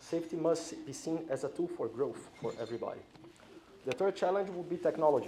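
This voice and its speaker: With a Brazilian accent, a man speaks at a high pitch with lively intonation. His pace is fairly quick, and background noise is noticeable. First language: Portuguese. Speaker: corporate safety executive. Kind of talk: conference speech. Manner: hesitant with fillers.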